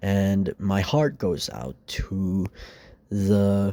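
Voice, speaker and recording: With a very clean recording and a silent background, a man's fairly low pitch comes through. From Philippines, Mindanao (Iligan City). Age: young. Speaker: vlogger. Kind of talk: personal vlog monologue.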